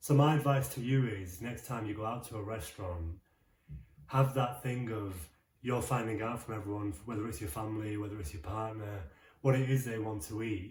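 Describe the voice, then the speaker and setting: The somewhat breathy voice moves at a fairly quick pace with ordinary pitch variation, and audible room echo surrounds it. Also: man, fairly low pitch for a man. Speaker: self-improvement vlogger. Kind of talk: advice monologue.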